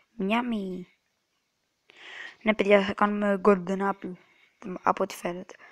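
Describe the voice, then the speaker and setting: A soft-spoken woman at medium pitch with fairly even intonation, in a dry, close sound with no echo on a very clean recording with a silent background. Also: long, frequent pauses. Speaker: gaming youtuber. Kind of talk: gameplay commentary. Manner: halting.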